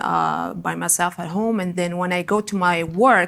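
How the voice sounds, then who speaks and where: A woman with a non-native accent talks at a moderate pace in a medium pitch. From Algeria. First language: not English. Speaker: student panelist. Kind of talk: panel discussion.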